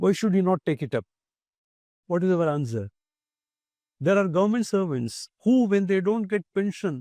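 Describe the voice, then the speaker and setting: With a Tamil Indian accent, a man speaks at a moderate pace in a high pitch, his dark, mellow tone rising and falling with lively intonation between long, frequent pauses, in a dry, close sound with no echo. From Tamil Nadu, India. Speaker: retired judge, human rights commission chair. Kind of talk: interview. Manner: measured, formal.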